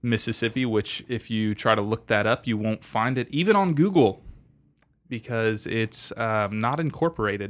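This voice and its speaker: On a very clean recording with a silent background, a man talks at a moderate pace at medium pitch in a normal speaking voice. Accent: American. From Florida Panhandle. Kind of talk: casual chat.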